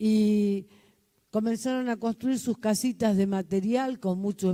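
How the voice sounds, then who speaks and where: A woman's dark, mellow tone at medium pitch. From Argentina, Buenos Aires. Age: 70s. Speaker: community leader. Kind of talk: testimony.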